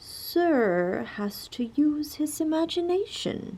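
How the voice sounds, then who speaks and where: A woman's put-on character voice, high-pitched and drawling, with very wide pitch swings and a very slow pace. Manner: slow, drawling.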